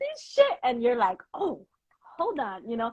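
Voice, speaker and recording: A woman with an American accent, high-pitched and with very wide pitch swings. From New York. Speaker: podcast host. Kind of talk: casual chat.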